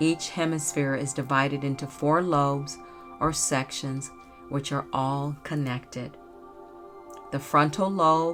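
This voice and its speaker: Music plays behind a woman with a very deep, low pitch. Her tone is calm and her pace fairly slow. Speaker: podcast host. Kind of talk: educational podcast narration. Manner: soft-spoken, calm.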